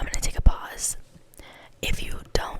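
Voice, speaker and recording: A woman whispering, with noticeable background noise. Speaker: ASMR creator. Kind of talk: casual talk to camera. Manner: soft-spoken, slow, soothing.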